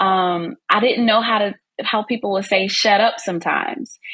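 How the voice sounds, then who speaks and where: Speech proceeds at a moderate speed. It carries a Southern US accent. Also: woman. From US South. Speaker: business and content marketing coach. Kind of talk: podcast interview. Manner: talkative.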